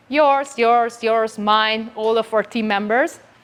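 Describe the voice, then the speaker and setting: This woman talks at a moderate pace with a Hungarian accent. Her pitch variation is ordinary. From rural Hungary. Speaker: company CEO, conference speaker. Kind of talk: conference talk. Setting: stage with audience. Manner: halting with fillers and restarts.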